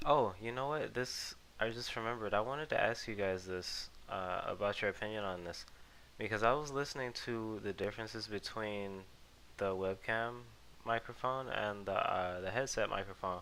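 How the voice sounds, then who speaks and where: Soft-spoken and at a moderate pace, this man has a fairly low pitch and a bright, sharp tone. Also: ordinary pitch variation. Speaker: gaming video creator. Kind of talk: casual gameplay commentary. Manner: hesitant, many ums and uhs. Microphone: cheap headset mic, picks up jaw noises.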